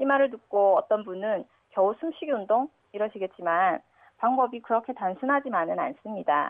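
A woman with an ordinary speaking voice talks at a moderate pace and a fairly high pitch. Her intonation is lively and her loudness very even. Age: 30s. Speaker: radio listener. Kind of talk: recorded listener tip with exercise instructions.

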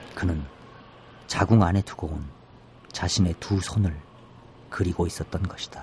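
Somewhat breathy speech at a moderate pace, fairly even in intonation, broken by long, frequent pauses. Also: man, very deep, low pitch for a man. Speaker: poet. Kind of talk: poetry reading. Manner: halting, many fillers.

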